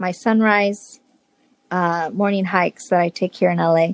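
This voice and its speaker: The speaker talks at a moderate pace with an American accent, and the sound is dry and close with no echo. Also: woman. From northwest Indiana, US Midwest. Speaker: hotel sales and marketing director. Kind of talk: casual interview chat.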